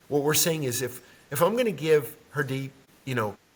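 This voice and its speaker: A man speaks in a somewhat breathy voice. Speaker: leadership development consultant. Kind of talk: interview. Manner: fast.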